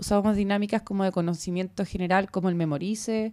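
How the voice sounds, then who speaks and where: With a Chilean accent and a dark, mellow tone, a woman talks at a fairly quick pace with fairly even intonation. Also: very clean recording, silent background. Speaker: publisher. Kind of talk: casual chat.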